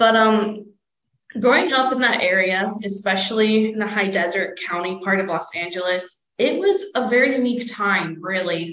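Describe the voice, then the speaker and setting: A woman talks at a moderate pace with a medium pitch. Her pitch variation is ordinary. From Southern California. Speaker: student. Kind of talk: interview testimony.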